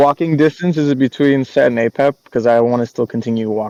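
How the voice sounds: Ordinary pitch variation across a natural reading voice.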